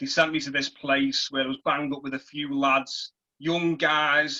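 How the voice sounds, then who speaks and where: In a Liverpool accent, a man speaks at a fairly high pitch with a bright, sharp tone. His delivery is monotone and flat at a moderate pace. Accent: English, Liverpool area. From northern England, Merseyside (between Liverpool and St Helens). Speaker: former prisoner and author. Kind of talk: reading aloud from own novel; personal testimony.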